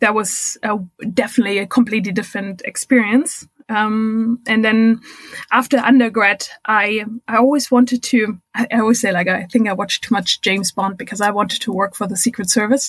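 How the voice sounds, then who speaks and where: With a German accent, the speaker's somewhat breathy voice moves at a fairly quick pace with fairly even intonation. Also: woman, fairly high pitch for a woman. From Germany. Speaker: record-setting cyclist and diversity consultant. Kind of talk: interview. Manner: hesitant, many fillers.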